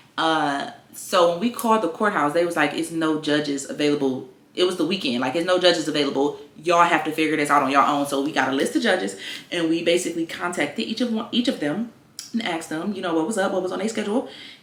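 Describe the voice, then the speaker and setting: A woman talks very fast with an American accent. Her intonation is lively. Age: 20s. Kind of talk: casual talk to camera. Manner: chatty, upbeat.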